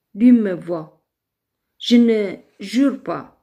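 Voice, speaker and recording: A woman with an Ethiopian accent has a dark, mellow tone. Her intonation is lively. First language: Amharic (speaking French). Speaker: online live streamer. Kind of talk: religious testimony in a live video. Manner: halting, with fillers and repetitions.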